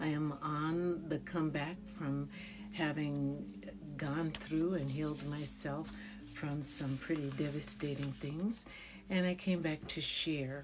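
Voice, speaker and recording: A woman speaks very slowly at a very deep, low pitch, with fairly even intonation and very even loudness. Music plays in the background, and room echo is audible. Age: 70s. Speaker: wellness psychologist and spiritual livestreamer. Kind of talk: casual livestream talk to viewers. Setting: livestream.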